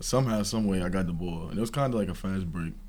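A dark, mellow tone in a New York accent. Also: man. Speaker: college basketball player. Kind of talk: casual interview.

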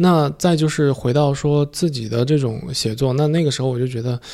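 Vocal fry and a slightly mellow tone run through this voice, which has ordinary pitch variation. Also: man.

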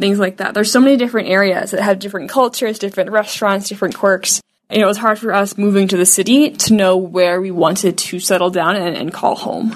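Here is a woman with an unremarkable speaking voice at a medium pitch. She talks at a fairly quick pace with fairly even intonation. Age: 20s. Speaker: young renter. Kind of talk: personal testimony.

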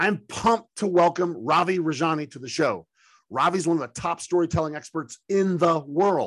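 The voice has an animated tone. It moves at a moderate pace with ordinary pitch variation. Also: man, high pitch for a man. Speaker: podcast host. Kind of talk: interview.

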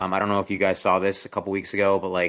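This man has a very deep, low pitch and a bright, sharp tone. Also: very clean recording, silent background. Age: 20s. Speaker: gaming podcast host. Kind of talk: casual chat. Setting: live stream.

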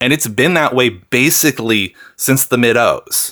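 Speaking at a moderate pace, a man uses an American accent and a medium pitch. His tone is bright and sharp. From US Pacific Northwest, Seattle. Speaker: rapper and musician. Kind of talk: casual interview chat.

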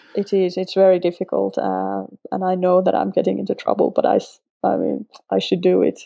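A woman speaks with a Finnish accent. Her pace is fairly quick. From Finland. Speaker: sketchnoter, former language teacher. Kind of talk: interview. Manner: halting, with repetitions.

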